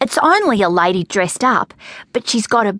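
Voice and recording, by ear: Someone is reading aloud in a natural voice, and the pitch rises and falls in an ordinary way.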